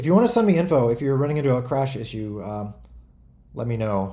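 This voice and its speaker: A man with a dark, mellow, somewhat breathy voice talks at a fairly quick pace amid audible room echo. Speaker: game developer hosting a community stream. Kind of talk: casual livestream talk. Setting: online voice chat on a community server. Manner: fast.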